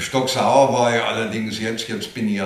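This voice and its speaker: Audible room echo and noticeable background noise surround the voice of a man. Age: 70s. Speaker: retired football radio reporter. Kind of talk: interview. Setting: his living room.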